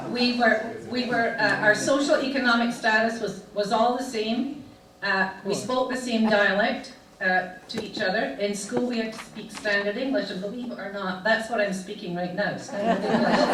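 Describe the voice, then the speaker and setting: The speaker's intonation stays fairly even at a moderate pace, with noticeable background noise and audible room echo. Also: woman, fairly high pitch for a woman. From Scotland, Fife (Thornton). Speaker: club presenter sharing her life story. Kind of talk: illustrated talk with slides.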